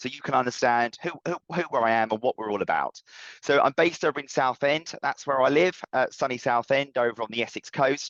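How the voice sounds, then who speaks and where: Medium-pitched male speech at a fairly quick pace, with ordinary pitch variation and a dry, close sound free of echo. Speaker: business trainer. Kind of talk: webinar presentation. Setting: online webinar. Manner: fast.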